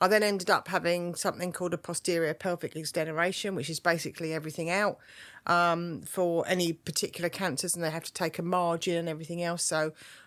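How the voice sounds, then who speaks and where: A woman talks at a very fast pace with a fairly low pitch. The recording is very clean, with a silent background. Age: 60s. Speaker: cancer survivor and charity volunteer. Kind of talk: testimony. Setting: studio. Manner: animated.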